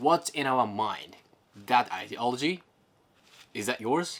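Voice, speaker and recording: A speaker with a non-native accent talks at a fairly slow pace. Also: man. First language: not English. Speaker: camera gear YouTuber. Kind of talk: tutorial; casual chat. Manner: halting.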